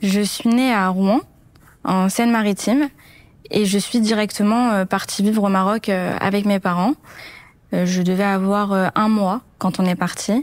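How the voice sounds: At a moderate pace, a woman speaks in a medium pitch with fairly even intonation.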